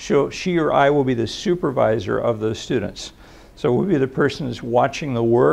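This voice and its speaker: This man's voice has vocal fry and a medium pitch. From Los Angeles, US. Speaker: psychologist. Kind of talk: public lecture. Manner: soft-spoken; halting.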